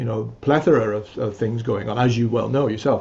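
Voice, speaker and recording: A man's somewhat breathy, medium-pitched voice at a fairly quick pace. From England. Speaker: musician and music teacher. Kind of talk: interview conversation. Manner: hesitant, many fillers.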